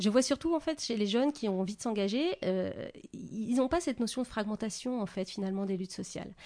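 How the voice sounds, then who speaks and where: A woman talks at a fairly quick pace with lively intonation and a medium pitch. Her tone is dark and mellow, and the background is quiet. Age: 40s. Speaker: author. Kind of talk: interview.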